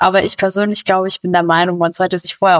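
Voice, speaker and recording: In a dry, close sound with no echo, a woman speaks at a medium pitch with monotone, flat intonation. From Bavaria. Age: 20s. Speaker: police officer. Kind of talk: interview. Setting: recorded at home.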